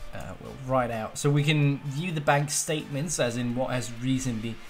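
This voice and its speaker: The speech moves at a moderate pace, somewhat breathy, with ordinary pitch variation. Room echo is audible. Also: man. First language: not English. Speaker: programming tutorial YouTuber. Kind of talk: live coding tutorial. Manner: casual, filler-heavy with many uh.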